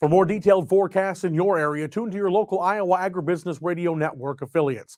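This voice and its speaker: A man with a Minnesotan accent at a very fast pace, ordinary pitch variation, and a very clean recording with a silent background. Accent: Minnesota. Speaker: farm radio broadcaster. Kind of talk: radio weather and farm news broadcast. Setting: radio studio.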